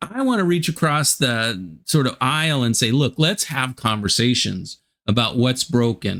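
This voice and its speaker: A man talks at a fairly slow pace in a medium pitch, with an unremarkable speaking voice. The recording is very clean, with a silent background. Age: 60s. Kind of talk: casual interview chat.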